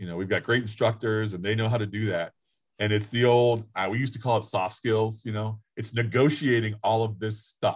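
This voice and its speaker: This man's voice is somewhat breathy. It sits at a medium pitch. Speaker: high school guidance counselor. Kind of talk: panel discussion.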